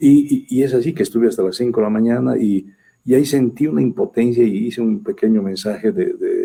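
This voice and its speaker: Speaking at a fairly quick pace, a man uses a medium pitch, a dark, mellow tone and lively intonation. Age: 60s. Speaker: government minister. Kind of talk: interview. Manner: halting.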